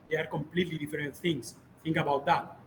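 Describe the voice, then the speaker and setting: The man's voice is high in pitch. He keeps his intonation fairly even. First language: Spanish or Catalan. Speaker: video game developer and instructor. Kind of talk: lecture. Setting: workshop room with audience. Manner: hesitant, many fillers.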